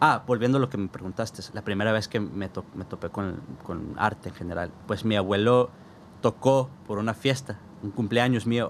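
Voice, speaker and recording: With ordinary pitch variation, a man speaks at a moderate pace and a fairly low pitch. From US Southwest, south Tucson, Arizona, Mexican-American family. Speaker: jazz saxophonist and music educator. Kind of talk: casual interview chat. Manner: animated.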